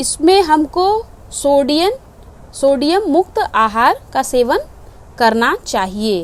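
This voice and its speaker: Speaking at a high pitch, a woman makes very wide pitch swings. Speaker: home science teacher. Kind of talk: online lecture.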